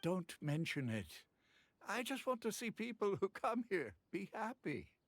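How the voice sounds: A man uses a put-on character voice, high-pitched with a fairly bright tone. His pitch swings widely as he speaks fairly slowly.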